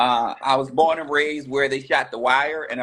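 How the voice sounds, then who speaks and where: Speaking with a Baltimore accent, a man talks at a moderate pace in a flat monotone. His tone is bright and sharp. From US, Baltimore. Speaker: pastor and business coach. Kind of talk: interview, casual chat.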